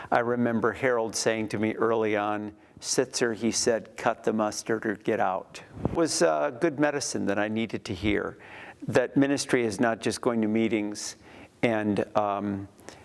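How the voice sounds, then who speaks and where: Using an unremarkable speaking voice, a man talks at a medium pitch with ordinary pitch variation. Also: moderate pace. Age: 60s. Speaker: former church intern, ministry leader. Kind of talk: interview testimony.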